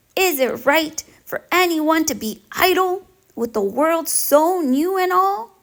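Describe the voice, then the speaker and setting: A woman in a put-on character voice, extremely high in pitch, at a fairly slow pace. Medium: read story.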